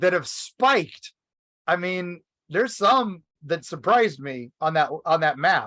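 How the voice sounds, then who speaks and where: With a bright, sharp tone and lively intonation, a man speaks at a high pitch. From Kentucky. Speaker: podcast co-host and author. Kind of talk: casual chat.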